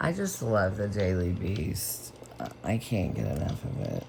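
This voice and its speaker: This woman speaks with a very deep, low pitch. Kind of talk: ASMR rambling, casual talk. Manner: soft-spoken, close-mic.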